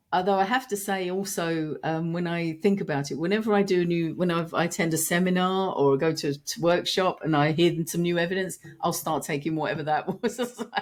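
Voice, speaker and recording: A woman with a fairly low pitch speaks at a fairly quick pace, hardly pausing. Her pitch varies in an ordinary way. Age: 60s. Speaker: founder of a vitamin company. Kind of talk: podcast interview.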